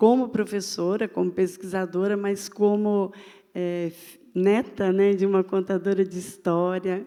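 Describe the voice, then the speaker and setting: A woman with a medium pitch talks at a very slow pace, her intonation monotone and flat. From Brazil, Minas Gerais. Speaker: university professor. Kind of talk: panel talk. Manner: halting, many fillers.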